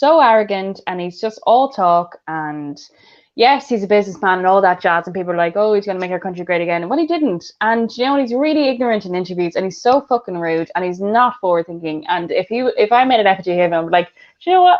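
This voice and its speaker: A woman with an Irish accent talks at a very fast pace and medium pitch. Her intonation is lively. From Ireland. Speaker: podcast host. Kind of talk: casual chat.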